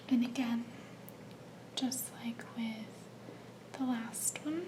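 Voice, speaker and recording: A woman whispers in a gentle tone while music plays in the background. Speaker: ASMR creator. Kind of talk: ASMR soft-spoken show-and-tell. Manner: soft-spoken, slow, gentle.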